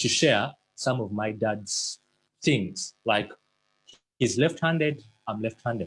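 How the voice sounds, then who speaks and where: Lively intonation from a man, somewhat breathy, at a moderate pace. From Uganda. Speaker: motivational speaker. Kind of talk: motivational talk.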